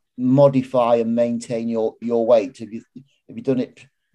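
This is a man's voice. His tone is dark and mellow. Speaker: podcast host. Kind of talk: interview conversation.

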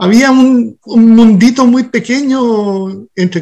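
A man with a Chilean accent. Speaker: restaurant co-owner and sustainability activist. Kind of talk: interview.

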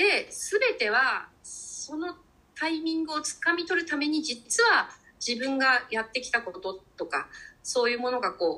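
A woman speaks in a raised, projected voice at a high pitch, with very wide pitch swings. Her tone is bright and sharp, and her pace is fairly slow. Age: 50s. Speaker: cook. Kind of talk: casual interview conversation.

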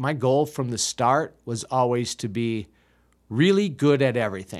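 In a very clean recording with a silent background, a man with a Wisconsin accent speaks at a fairly slow pace and a medium pitch, with ordinary pitch variation. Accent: Upper Midwest (Wisconsin) American. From US Midwest, Milwaukee, Wisconsin. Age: 50s. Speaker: improv comedian. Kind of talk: casual chat. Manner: halting.

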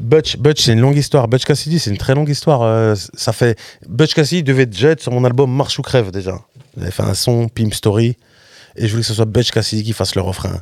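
A man with a medium-pitched voice speaks at a fairly quick pace with ordinary pitch variation over noticeable background noise. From France, Rennes. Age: 30s. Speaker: rapper. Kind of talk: casual interview. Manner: halting, many repetitions.

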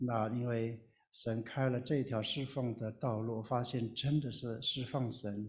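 The man's voice is somewhat breathy. He talks at a very slow pace. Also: very clean recording, silent background. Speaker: retired pastor and missionary. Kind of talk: sermon.

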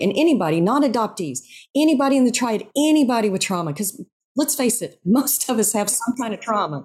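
This woman's voice is somewhat breathy and fairly high-pitched. She talks at a fairly quick pace with very wide pitch swings. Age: 50s. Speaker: yoga instructor and writer. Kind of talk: interview.

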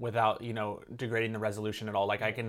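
A man talks at medium pitch on a very clean recording with a silent background. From California, Santa Cruz. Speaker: filmmaker and YouTuber. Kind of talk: casual interview chat.

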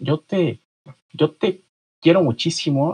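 A man's somewhat breathy voice with ordinary pitch variation, dry and close with no echo. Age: 40s. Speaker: author. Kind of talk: interview. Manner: halting.

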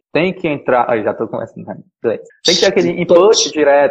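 With lively intonation and a moderate pace, a man talks in an ordinary speaking voice. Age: 20s. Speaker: podcast host. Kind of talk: casual chat.

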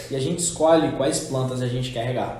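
Over noticeable background noise and audible room echo, a man speaks very fast with a Minas Gerais accent. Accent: Minas Gerais Portuguese (mineiro). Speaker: podcast host. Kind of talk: casual chat.

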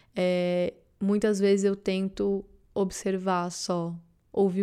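A woman's medium-pitched voice with a dark, mellow tone and a Brazilian accent, on a very clean recording with a silent background. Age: 20s. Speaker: content creator and podcaster. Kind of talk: casual solo monologue.

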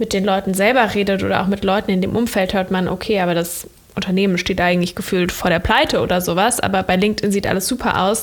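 Against noticeable background noise, a woman speaks at a fairly quick pace and a medium pitch with monotone, flat intonation. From Germany, Cologne. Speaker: entrepreneur and communication consultant, content creator. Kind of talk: interview, casual chat. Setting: video call from laptop.

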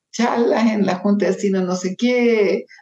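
This woman's voice has a dark, mellow tone. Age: 70s. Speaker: journalist and social entrepreneur. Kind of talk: interview.

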